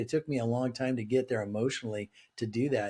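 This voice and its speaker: With an American accent, a man talks at a fairly quick pace in a dark, mellow, somewhat breathy tone. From Southern California. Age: 60s. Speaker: business leader and author. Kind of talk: interview conversation. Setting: remote call.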